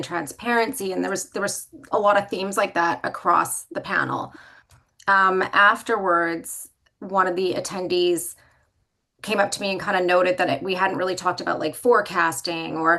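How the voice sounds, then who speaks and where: A woman with a bright, sharp tone and vocal fry speaks at a medium pitch with ordinary pitch variation. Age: young. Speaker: business leader. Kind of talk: panel discussion. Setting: livestream.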